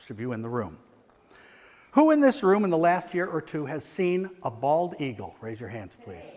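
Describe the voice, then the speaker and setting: High-pitched male speech at a moderate pace with very wide pitch swings. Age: 60s. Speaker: environmental activist. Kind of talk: conference talk. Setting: stage with audience.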